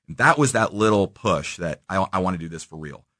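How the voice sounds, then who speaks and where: A man with a Midwestern American accent, very deep and low in pitch, bright and sharp in tone, with ordinary pitch variation, a moderate pace and a quiet background. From Kansas City, Missouri. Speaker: entrepreneur. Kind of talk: interview. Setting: radio studio.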